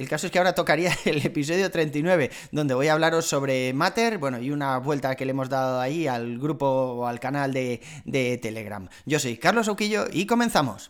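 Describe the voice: A man talks at a fairly quick pace with few pauses and ordinary pitch variation. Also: medium pitch for a man.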